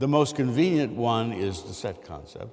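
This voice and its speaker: Medium pitch from a man at a moderate pace, with noticeable background noise and audible room echo. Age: 60s. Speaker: mathematics professor. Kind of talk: lecture. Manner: halting, many fillers.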